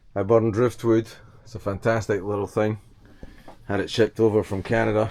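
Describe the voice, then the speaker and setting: A man speaks at a medium pitch and a moderate pace in a Scottish accent. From Scotland. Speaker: vlogger and sailor. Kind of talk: casual vlog monologue. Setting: on a boat.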